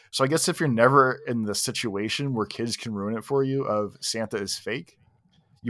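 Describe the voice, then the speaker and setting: A man with an unremarkable speaking voice speaks in a medium pitch with ordinary pitch variation. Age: 40s. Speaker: podcast co-host. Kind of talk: casual chat.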